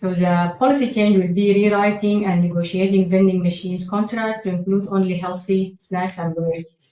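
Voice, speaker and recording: A woman's fairly quick delivery with hardly any pauses and fairly even intonation. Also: medium pitch for a woman. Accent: slight non-native. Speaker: public health staff presenter. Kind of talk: presentation. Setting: meeting room. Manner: halting, with frequent fillers.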